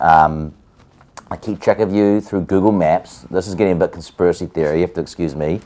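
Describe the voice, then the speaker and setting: A man's very deep, low voice with a New Zealand accent, dark and mellow in tone, at a moderate pace with ordinary pitch variation. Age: 40s. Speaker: musician. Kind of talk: casual chat. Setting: hair salon chair during a haircut.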